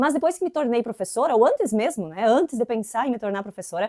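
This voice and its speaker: Woman with an inland Santa Catarina accent, fairly high pitch, dark, mellow tone and lively intonation, in dry, close sound with no echo. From southern Brazil, inland Santa Catarina. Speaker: English teacher. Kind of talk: educational video tutorial. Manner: casual, conversational.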